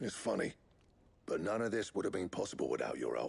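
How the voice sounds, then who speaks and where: Delivered at a very fast pace, the put-on character voice is raspy. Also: man. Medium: video game. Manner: proud, chatty.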